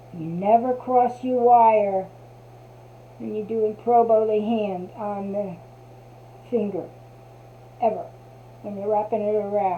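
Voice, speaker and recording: In a New Jersey accent, a woman speaks very slowly with long, frequent pauses, a fairly high pitch, ordinary pitch variation and big swings in loudness, with audible room echo. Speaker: crafter. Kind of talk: tutorial. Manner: casual.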